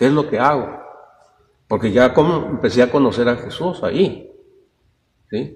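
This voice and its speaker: Long, frequent pauses break up a man's somewhat breathy speech. His pitch varies in an ordinary way. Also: medium pitch for a man, moderate pace. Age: 70s. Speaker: Bible study teacher. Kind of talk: Bible study class. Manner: halting.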